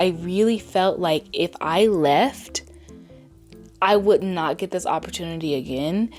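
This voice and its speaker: A woman talks at a very slow pace with ordinary pitch variation. Music plays in the background. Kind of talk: casual talk to camera.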